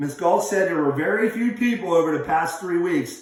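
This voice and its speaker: A man talks loudly at a high pitch and a moderate pace. Audible room echo surrounds his voice. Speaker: teacher. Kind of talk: lesson. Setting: office. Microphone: echo in room.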